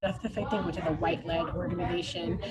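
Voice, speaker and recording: A woman with an American accent at a very fast pace, over noticeable background noise. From New Jersey, US. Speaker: keynote speaker, education activist. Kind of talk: Q&A after keynote talk.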